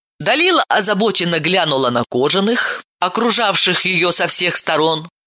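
Lively intonation fills a natural reading voice set against a quiet background.

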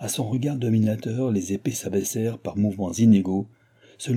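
An unforced reading voice carries the whole clip.

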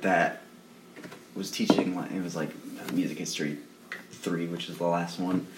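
A man with a very deep, low pitch talks at a moderate pace, with long, frequent pauses and big swings in loudness. Noticeable background noise and audible room echo are present. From Rhode Island. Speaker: punk band member. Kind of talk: casual chat.

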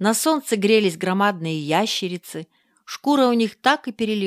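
A quiet background behind lively intonation, reading aloud in a natural voice

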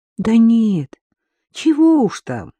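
Using a put-on character voice, a woman speaks slowly with a fairly high pitch, big pitch swings and a dark, mellow tone, the sound dry and close with no echo.

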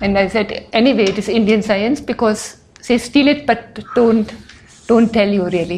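A woman with a fairly high, somewhat breathy voice speaks at a moderate pace with fairly even intonation. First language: not English. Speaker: speaker on religion. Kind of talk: lecture. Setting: stage with audience.

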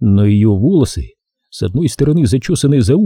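In a natural reading voice with lively intonation, the speaker is heard over a quiet background.

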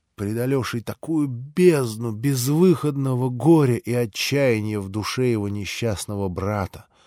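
The voice reads in an unforced way. Its pitch varies an ordinary amount.

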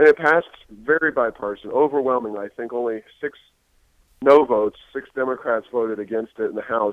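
The pace is fairly quick, with ordinary pitch variation. It is a normal speaking voice. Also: man, medium pitch for a man. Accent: American. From Ohio. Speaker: think tank president. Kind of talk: podcast interview.

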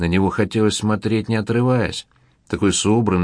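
The intonation of this natural reading voice stays fairly even.

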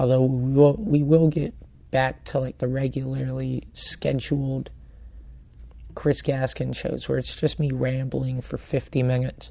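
A man is whispering. His pace is fairly slow. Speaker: comedian and podcast host. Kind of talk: casual chat. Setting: bar. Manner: whispering in the intro.

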